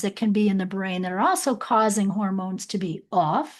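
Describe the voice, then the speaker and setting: A woman talks at a moderate pace against a quiet background. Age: 60s. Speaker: podcast host and health practitioner. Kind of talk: interview.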